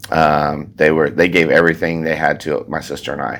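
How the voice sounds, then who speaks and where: Over noticeable background noise, a man with a Texan accent and a very deep, low pitch talks at a very fast pace. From Texas, Alvin near Houston. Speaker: farrier and shoeing school instructor. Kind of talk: casual interview.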